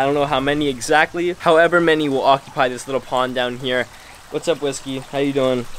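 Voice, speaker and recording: Over noticeable background noise, a man talks at a very fast pace. His pitch is fairly high. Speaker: fishing and pets vlogger. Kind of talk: casual vlog. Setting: outdoors by pond, then pet store. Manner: animated.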